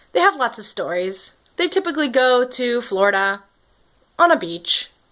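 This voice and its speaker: A woman with an American accent speaks at a high pitch in a bright, sharp tone, her pitch swinging very widely. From US Northeast, Connecticut. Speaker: storytelling vlogger. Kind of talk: personal storytelling monologue. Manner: animated.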